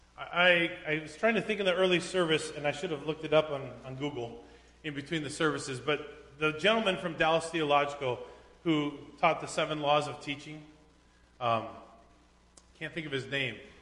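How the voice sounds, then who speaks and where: A man speaks at a fairly quick pace with long, frequent pauses. His pitch is fairly high, and there is noticeable background noise. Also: ordinary pitch variation. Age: 40s. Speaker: pastor. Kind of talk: sermon. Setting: church.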